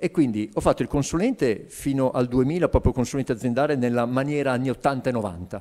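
Against a quiet background, a man talks at a fairly quick pace with a medium pitch and a dark, mellow tone. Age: 50s. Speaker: business coach. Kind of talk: interview. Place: studio. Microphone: handheld.

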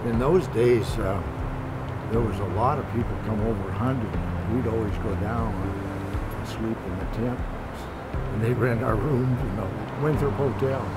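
Over loud background noise, a man with an American accent speaks at a fairly slow pace. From Methow Valley, Washington, USA. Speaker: retired local resident. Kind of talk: interview answer. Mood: calm, nostalgic. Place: waterside.

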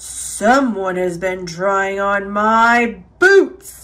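A put-on character voice moves along at a very slow pace. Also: man, high pitch for a man. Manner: booming.

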